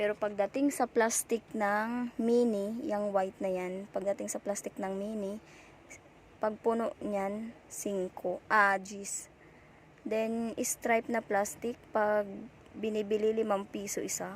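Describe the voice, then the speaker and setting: A woman speaks at a very slow pace. Her voice is fairly high, with fairly even intonation. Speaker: vlogger, sari-sari store owner. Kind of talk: casual vlog tour. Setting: inside a roadside store.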